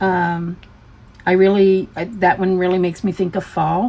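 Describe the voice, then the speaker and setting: A woman with an American accent speaks in a somewhat breathy voice. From US South, Tennessee. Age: 60s. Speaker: craft hobby YouTuber. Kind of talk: casual chat.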